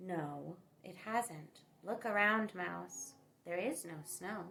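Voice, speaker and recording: Putting on a character voice, a woman talks at a very slow pace with fairly low pitch. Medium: read story. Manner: curt, gruff.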